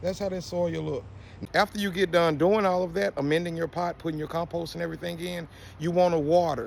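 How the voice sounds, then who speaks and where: An animated man talks at a high pitch and a fairly quick pace, with ordinary pitch variation. The recording is very clean, with a silent background. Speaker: gardening video creator. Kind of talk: tutorial. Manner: fast.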